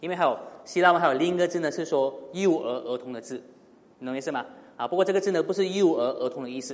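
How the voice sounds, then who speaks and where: Here a man talks in a fairly high voice. He goes at a very fast pace with ordinary pitch variation. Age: 30s. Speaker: pastor. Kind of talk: sermon. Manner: frequent fillers and hesitations.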